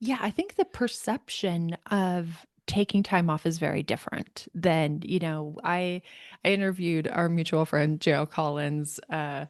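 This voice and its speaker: With an unremarkable speaking voice, a woman talks fairly slowly in a fairly low pitch with ordinary pitch variation, the sound dry and close with no echo and the background quiet. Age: 40s. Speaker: author. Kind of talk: interview answer.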